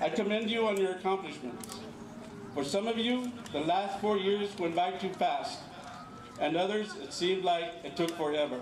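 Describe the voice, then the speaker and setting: A man's high-pitched voice at a moderate pace with ordinary pitch variation, amid noticeable background noise and audible room echo. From California, migrant farmworker family of Mexican parents. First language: Spanish. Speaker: school administrator. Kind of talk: commencement speech. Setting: outdoor graduation ceremony with audience. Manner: formal.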